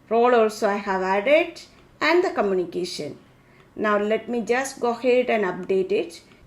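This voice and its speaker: With a Keralan accent, a woman speaks in a fairly high pitch. Her intonation is lively. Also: moderate pace. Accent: Indian English (Malayali). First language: Malayalam. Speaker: tech tutorial creator. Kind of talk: tutorial.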